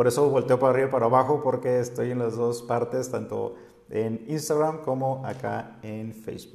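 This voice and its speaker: Monotone, flat intonation runs through a man's medium-pitched voice. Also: moderate pace. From Mexico, Sinaloa. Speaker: spiritual guide and livestream host. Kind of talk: live-streamed spiritual talk. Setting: live stream on social media. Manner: hesitant, many fillers.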